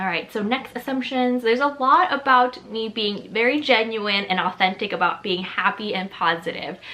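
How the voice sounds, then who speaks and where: A woman speaks at a moderate pace with hardly any pauses, her fairly high voice carrying lively intonation over noticeable background noise. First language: Chinese. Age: 20s. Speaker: lifestyle YouTuber. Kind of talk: casual vlog talk to camera.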